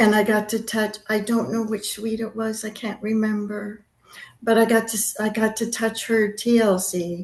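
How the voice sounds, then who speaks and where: Over a quiet background, a woman with a Californian accent speaks at a moderate pace in a fairly high, somewhat breathy voice with monotone, flat intonation. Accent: Californian American. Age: 70s. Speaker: Elvis fan interviewee. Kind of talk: interview storytelling.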